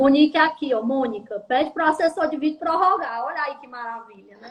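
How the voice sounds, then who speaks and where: At a fairly quick pace, a woman speaks in a high pitch with ordinary pitch variation and big swings in loudness. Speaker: labor lawyer. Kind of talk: casual live stream chat. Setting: online live stream. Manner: fast.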